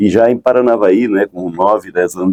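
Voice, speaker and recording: The man's tone is dark and mellow. His voice is dry and close, without any echo. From Brazil, São Paulo and northern Paraná. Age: 60s. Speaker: entrepreneur and pioneer. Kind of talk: radio interview. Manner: halting, many repetitions.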